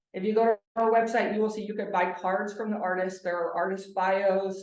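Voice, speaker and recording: A woman's medium-pitched, monotone, flat delivery at a fairly quick pace, with audible room echo. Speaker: nonprofit organization representative. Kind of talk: presentation with slides. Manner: fast.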